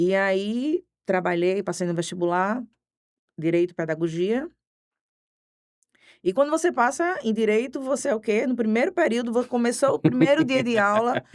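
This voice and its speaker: Speaking with a Recife accent, a woman uses a fairly high pitch and very wide pitch swings, leaving long, frequent pauses. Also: moderate pace, very clean recording, silent background. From Pernambuco, Brazil (Recife area). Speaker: criminal defense lawyer. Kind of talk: podcast interview.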